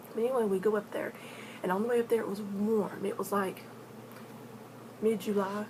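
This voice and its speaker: Against noticeable background noise, the speaker moves at a fairly quick pace in a flat monotone, with long, frequent pauses. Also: woman, medium pitch for a woman. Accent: Appalachian. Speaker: paranormal storyteller vlogger. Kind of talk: casual storytelling vlog. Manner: halting, repeats words.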